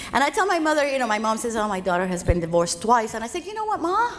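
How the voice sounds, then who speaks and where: A woman is speaking. She has a Spanish accent. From Cuba, then Los Angeles from age fourteen. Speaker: financial speaker. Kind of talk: keynote speech.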